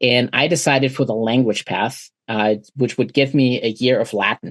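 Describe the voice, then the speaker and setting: A man speaks with a German accent at a moderate pace, his intonation fairly even. The loudness stays very even, and the sound is dry and close with no echo. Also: medium pitch for a man. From Germany. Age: 40s. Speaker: trauma surgeon. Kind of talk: casual chat. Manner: easygoing.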